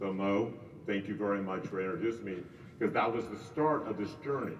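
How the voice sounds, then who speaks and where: Ordinary pitch variation and a fairly quick pace mark this speech, heard with audible room echo and noticeable background noise. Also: man, fairly low pitch for a man. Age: 60s. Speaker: real estate agent. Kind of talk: casual chat.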